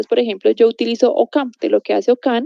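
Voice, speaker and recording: A woman's fairly high-pitched voice with a dark, mellow tone, fairly quick, in a dry, close sound with no echo. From Colombia, Popayán. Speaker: university lecturer. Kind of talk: online video lecture. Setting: recorded video class. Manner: fast.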